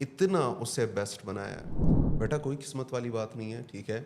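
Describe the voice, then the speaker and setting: A man speaks at a medium pitch with ordinary pitch variation. He has an unremarkable speaking voice. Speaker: corporate trainer, motivational speaker. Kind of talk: podcast interview answer.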